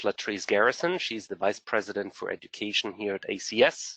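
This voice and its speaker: In a German accent, a man speaks at a medium pitch with lively intonation and a bright, sharp tone, the sound dry and close with no echo. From Germany. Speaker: program director. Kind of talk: webinar presentation.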